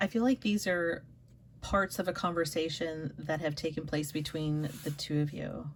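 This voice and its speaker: A woman's very deep, low voice, somewhat breathy, at a moderate pace with ordinary pitch variation. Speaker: tarot reader. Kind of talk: tarot reading. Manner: halting, stumbling over words.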